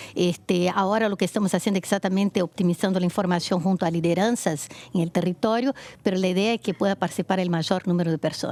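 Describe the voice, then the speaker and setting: A woman talks at a very fast pace with very even loudness and fairly even intonation, her pitch medium. The sound is dry and close, with no echo. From Brazil. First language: Portuguese (speaking Spanish). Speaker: foundation project leader, women's rights advocate. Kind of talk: TV interview.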